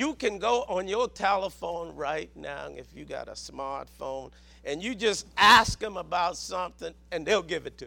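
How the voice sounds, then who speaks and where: Loudness swings widely as a man talks at a moderate speed. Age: 60s. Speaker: preacher. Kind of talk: sermon. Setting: church.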